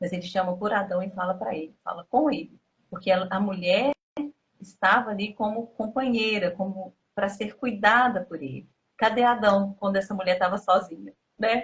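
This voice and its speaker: A woman's voice, somewhat breathy, with pitch that varies in an ordinary way. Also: medium pitch for a woman, moderate pace. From Minas Gerais, Brazil. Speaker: interviewee, abuse survivor. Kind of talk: interview testimony.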